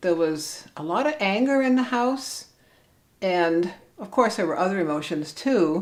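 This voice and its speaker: A woman talks in a Cleveland accent at a fairly slow pace. Her pitch swings very widely. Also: medium pitch for a woman. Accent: Inland Northern American (Cleveland). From US Midwest, Cleveland, Ohio. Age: 60s. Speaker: vlogger. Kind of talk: personal vlog monologue.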